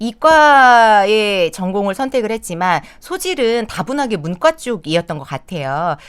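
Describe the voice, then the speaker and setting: On a very clean recording with a silent background, a woman at a medium pitch speaks with very wide pitch swings. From Seoul metropolitan area, South Korea. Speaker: career consultant and company head. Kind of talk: interview. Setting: live interview show.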